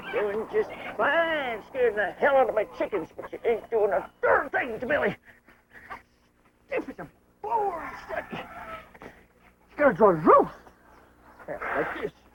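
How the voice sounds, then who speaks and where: Someone uses a put-on character voice with a high pitch at a moderate pace. Long pauses come often. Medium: short film. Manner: rough, folksy, exclamatory.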